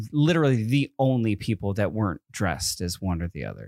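At a moderate pace, this voice swings very widely in pitch, recorded very cleanly against a silent background with a dry, close sound and no echo. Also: man. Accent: slight East Coast. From US East Coast, Connecticut. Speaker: podcast host. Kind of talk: casual chat. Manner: long pauses mid-sentence.

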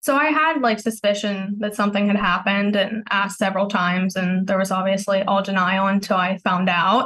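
Bright and sharp in tone, a woman speaks at a fairly quick pace and medium pitch with ordinary pitch variation, very even loudness and hardly any pauses. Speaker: caller seeking relationship advice. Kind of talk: advice call.

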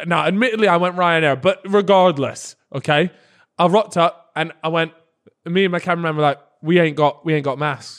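A man at a fairly quick pace, high-pitched for a man, with ordinary pitch variation. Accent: British. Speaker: YouTuber and podcast co-host. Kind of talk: casual chat. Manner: playful.

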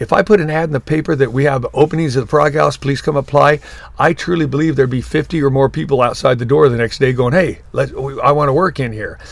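Talking at a very fast pace with hardly any pauses, a man with a Southern Californian accent has a fairly high, somewhat breathy voice and an animated tone. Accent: Southern California American. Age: 70s. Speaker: surf shop owner. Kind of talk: interview.

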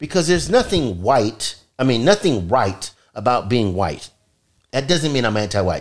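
This man, with an American accent, talks at a moderate pace in a medium pitch with very wide pitch swings. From California. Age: 60s. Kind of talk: casual chat.

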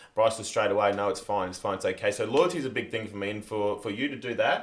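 Words rush out extremely quickly. Noise in the background is clearly audible. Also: man. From South Africa. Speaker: reality TV contestant, friend of hosts. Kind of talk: casual chat.

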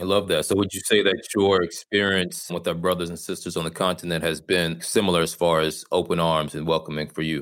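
In a very clean recording with a silent background, a man with an American accent talks at a fairly quick pace with hardly any pauses, his very deep, low voice monotone and flat. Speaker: podcast host. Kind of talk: scripted narration.

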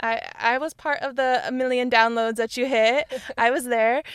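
The recording is very clean, with a silent background. A normal speaking voice moves at a moderate pace with fairly even intonation. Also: woman. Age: 20s. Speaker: YouTuber. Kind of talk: casual chat.

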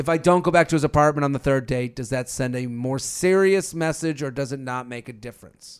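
A loud man's fairly high voice, animated in tone and fairly quick, with hardly any pauses and ordinary pitch variation. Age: 30s. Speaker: podcast co-host. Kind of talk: casual chat.

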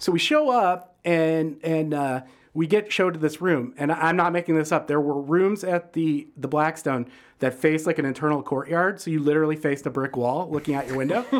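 Speaking at a fairly quick pace, a man with a Midwestern American accent has a fairly high pitch and ordinary pitch variation. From Michigan, suburban Detroit. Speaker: food writer and critic. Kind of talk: casual interview.

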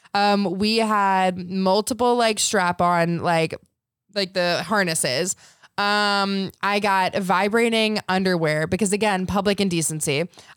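An unremarkable speaking voice: a woman at medium pitch, talking fairly slowly with fairly even intonation and very even loudness. The recording is very clean with a silent background. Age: 20s. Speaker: reality TV cast member and adult content creator. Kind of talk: casual chat.

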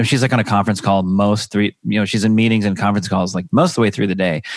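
The recording is very clean, with a silent background. A man speaks in a fairly even intonation. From US Pacific Northwest, Seattle area. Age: 30s. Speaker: comedian and stay-at-home dad. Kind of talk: casual chat.

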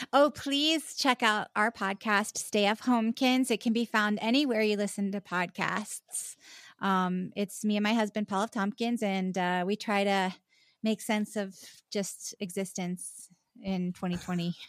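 In a very clean recording with a silent background and a dry, close sound with no echo, a woman with an American accent speaks at a fairly slow pace and medium pitch with ordinary pitch variation, in an unremarkable speaking voice. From US South, Charleston, South Carolina. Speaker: actress. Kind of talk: casual chat. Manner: frequent laughter.

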